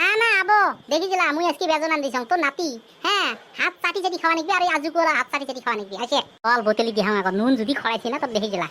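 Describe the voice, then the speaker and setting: In a cartoonish character voice, a woman races at a very fast pace at high pitch with very wide pitch swings. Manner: chatty, colloquial village storyteller.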